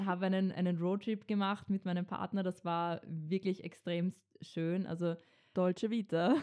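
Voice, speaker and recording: A woman with a Viennese accent speaks at a medium pitch and a moderate pace, her intonation fairly even and her loudness very even. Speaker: podcast co-host, student. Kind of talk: casual chat; scripted intro.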